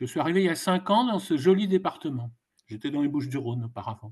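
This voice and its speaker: A man's pitch swings very widely as he talks at a fairly quick pace. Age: 70s. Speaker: elected mutual insurance member, participant. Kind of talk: audience question.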